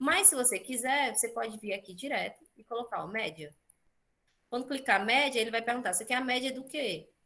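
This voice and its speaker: A woman with a high voice and a bright, sharp tone talks at a fairly quick pace. Her intonation is lively, and her loudness swings widely. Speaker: teacher. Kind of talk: online class tutorial.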